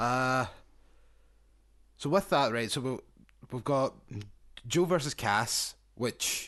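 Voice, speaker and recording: Over a quiet background, a man speaks at a very slow pace and medium pitch, with long, frequent pauses. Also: ordinary pitch variation. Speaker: wrestling podcast host. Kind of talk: casual chat.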